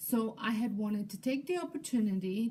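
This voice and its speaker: A woman's fairly high, somewhat breathy voice with a dark, mellow tone, lively intonation and a moderate pace. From Europe. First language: not English. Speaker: lifestyle YouTuber and home daycare provider. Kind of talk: casual vlog introduction from notes.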